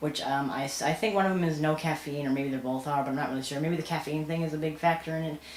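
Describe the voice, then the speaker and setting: Very deep, low-pitched woman at a very fast pace, with audible room echo and noticeable background noise. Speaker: vlogger. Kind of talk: casual vlog rant. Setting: home, filming alone at night. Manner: halting.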